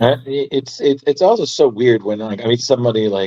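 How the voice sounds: The voice has a dark, mellow tone. It comes with a New York accent. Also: man.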